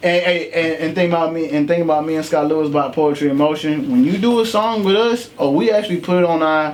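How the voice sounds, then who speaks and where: Noticeable background noise sits under a man talking at a very fast pace with hardly any pauses. His tone is animated, with ordinary pitch variation. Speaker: poet and recording artist. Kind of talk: casual podcast chat. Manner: casual, animated.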